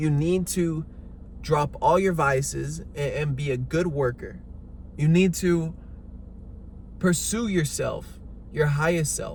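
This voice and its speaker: Speaking at a very slow pace with long, frequent pauses, a man is heard with audible room echo. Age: 20s. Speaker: fitness coach. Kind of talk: motivational talk. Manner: emphatic.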